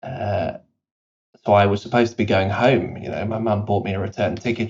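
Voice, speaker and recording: Somewhat breathy and fairly low in pitch, a man speaks at a moderate pace with monotone, flat intonation. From South Africa, British parents. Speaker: company CEO. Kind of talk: podcast interview. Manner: casual, many fillers.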